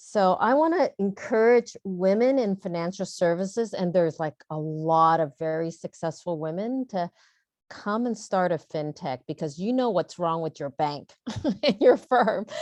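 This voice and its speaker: A plain, everyday voice moves at a moderate pace with lively intonation. The sound is dry and close with no echo, over a quiet background. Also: woman, medium pitch for a woman. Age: 60s. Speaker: startup founder and CEO. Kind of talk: panel discussion. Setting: virtual panel session.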